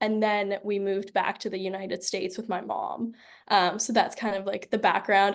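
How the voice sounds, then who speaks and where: A woman's medium-pitched voice at a moderate pace against a quiet background. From Pittsburgh, Pennsylvania, US. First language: Georgian and Russian. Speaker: recent university graduate. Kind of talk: interview. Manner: casual, many fillers.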